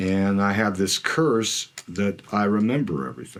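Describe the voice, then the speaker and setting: In an American accent, a man with a fairly low pitch and lively intonation talks at a fairly slow pace in an unremarkable speaking voice. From US West, Imperial Valley, California. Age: 60s. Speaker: retired water district general manager. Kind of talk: oral history interview. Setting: office.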